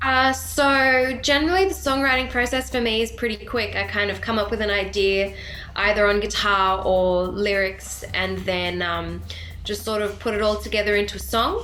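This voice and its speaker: A woman with an Australian accent at a moderate pace, with audible room echo. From Sydney, Australia. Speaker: country/rock singer-songwriter. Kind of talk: casual interview.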